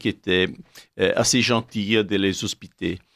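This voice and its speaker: A man speaks at a fairly low pitch with an Italian accent and fairly even intonation. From Italy. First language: Italian (speaking French). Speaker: essayist. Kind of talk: radio interview. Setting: radio studio. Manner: halting.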